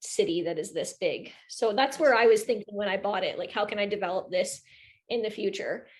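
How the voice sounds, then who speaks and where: An unremarkable speaking voice from a medium-pitched woman with a Canadian accent, moderate pace, and a quiet background. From Ontario, Canada (Kawartha Lakes / Peterborough region). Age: 20s. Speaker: real estate investor and agent. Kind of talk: casual interview chat.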